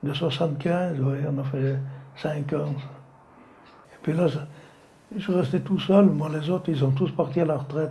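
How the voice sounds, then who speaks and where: Audible room echo surrounds a man with a fairly high pitch. His intonation stays fairly even, broken by long, frequent pauses. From France, Savoie (Maurienne valley). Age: 80s+. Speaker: retired slate quarryman. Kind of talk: oral history testimony. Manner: halting.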